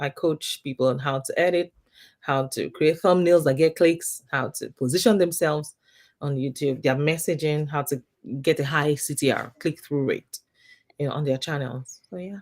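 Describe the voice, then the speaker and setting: A woman's very deep, low voice in a strong African accent, at a moderate pace with fairly even intonation, on a very clean recording with a silent background. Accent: thick African. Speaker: YouTube coach. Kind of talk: interview.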